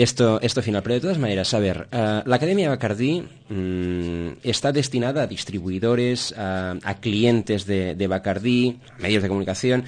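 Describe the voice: With few pauses, a man speaks at a moderate pace in a fairly low pitch, his tone slightly mellow and his pitch variation ordinary.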